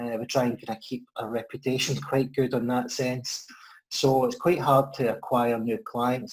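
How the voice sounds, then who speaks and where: At a moderate pace, a man of medium pitch speaks with a Scottish accent. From Scotland, Ayrshire. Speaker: financial adviser. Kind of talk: interview.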